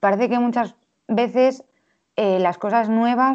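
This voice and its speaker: A woman with an ordinary speaking voice, a moderate pace, and ordinary pitch variation. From Spain, Valladolid. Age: 20s. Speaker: illustrator. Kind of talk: casual interview.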